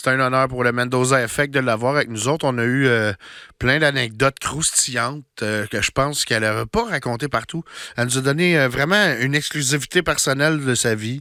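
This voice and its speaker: Speaking at a fairly quick pace, a man uses a medium pitch with ordinary variation. The recording is very clean with a silent background. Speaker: podcast host. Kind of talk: podcast episode intro. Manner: casual, enthusiastic.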